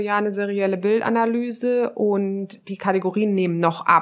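A woman with an ordinary speaking voice talks at a fairly quick pace. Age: 30s. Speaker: social psychologist and relationship researcher. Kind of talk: casual interview conversation.

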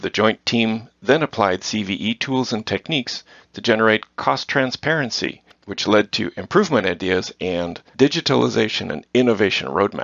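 Using lively intonation and some vocal fry, a man talks at a moderate pace in a fairly low pitch. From Netherlands. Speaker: corporate cost engineering manager. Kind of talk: interview.

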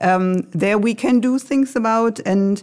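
A woman with a normal speaking voice talks at a moderate pace with ordinary pitch variation, captured on a very clean recording with a silent background. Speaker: IT executive. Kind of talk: corporate podcast interview.

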